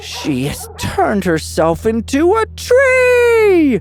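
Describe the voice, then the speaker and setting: A man talks at a very slow pace in a put-on character voice. Clear music plays in the background. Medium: read story. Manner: shouting, frantic.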